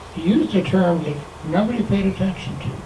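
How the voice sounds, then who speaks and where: A man's delivery, showing ordinary pitch variation, carries audible room echo over noticeable background noise. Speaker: Holocaust survivor speaker. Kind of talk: talk to an audience.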